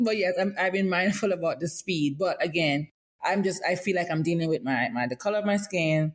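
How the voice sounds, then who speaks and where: A woman speaks with a Caribbean accent. Her intonation is lively. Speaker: podcast host. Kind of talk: casual chat. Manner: fast.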